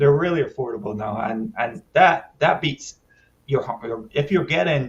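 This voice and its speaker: A man speaks at a moderate pace in a somewhat breathy voice with lively intonation. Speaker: DJ and podcast host. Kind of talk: casual chat.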